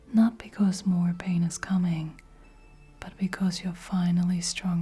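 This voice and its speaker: Speaking softly and at a fairly slow pace, the speaker is heard over noticeable background noise. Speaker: tarot card reader. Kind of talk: spoken oracle card reading. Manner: soft-spoken.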